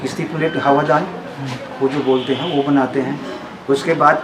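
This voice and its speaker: Amid noticeable background noise and audible room echo, a man speaks in a monotone, flat intonation at a fairly high pitch. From Chhattisgarh, India. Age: 70s. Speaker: harmonium and banjo maker. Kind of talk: interview. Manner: halting, many fillers.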